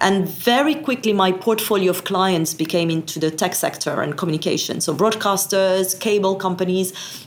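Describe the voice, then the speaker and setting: A woman with a French accent speaks at a moderate pace. Her pitch sits in the medium range. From France. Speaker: satellite industry association executive. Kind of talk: interview.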